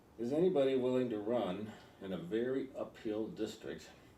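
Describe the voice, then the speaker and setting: A man with an American accent speaks in a dark, mellow tone at a moderate pace. Room echo is audible. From California. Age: 80s+. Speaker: political candidate. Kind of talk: interview. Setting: in person interview with editorial board. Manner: halting.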